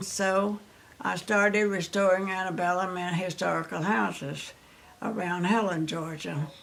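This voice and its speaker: Speaking with a Southern US accent, a woman talks at a moderate pace in a medium pitch with fairly even intonation. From Louisiana. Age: 90s. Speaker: retired telephone operator and businesswoman. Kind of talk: life story interview.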